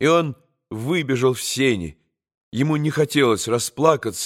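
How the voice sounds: The clip has a natural reading voice. Pitch varies in an ordinary way over a quiet background.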